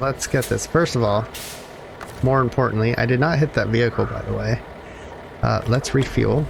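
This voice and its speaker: Against noticeable background noise, a man's speech is broken by long, frequent pauses. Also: moderate pace. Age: adult. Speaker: gaming YouTuber. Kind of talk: gameplay commentary. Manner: halting, stops mid-sentence; many fillers (um, uh).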